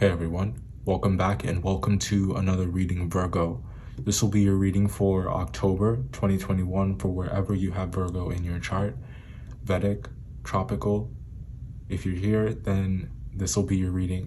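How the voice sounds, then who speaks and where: A man with a very deep, low pitch, a dark, mellow tone and a somewhat breathy sound talks at a moderate pace with ordinary pitch variation, and audible room echo surrounds him. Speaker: tarot reader. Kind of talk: tarot reading.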